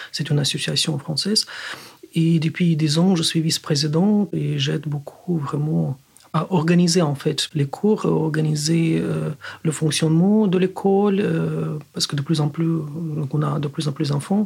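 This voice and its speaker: A fairly high-pitched man with a Ukrainian accent, at a fairly slow pace with fairly even intonation. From Ukraine. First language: Ukrainian (speaking French). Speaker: physicist. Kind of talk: interview. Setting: studio.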